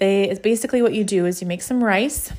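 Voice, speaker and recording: With a warm tone, a woman speaks at medium pitch with ordinary pitch variation. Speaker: podcast host and blogger. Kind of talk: casual solo podcast talk with recipe. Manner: talks fast, mumbles, trips over words; warm, conversational, encouraging.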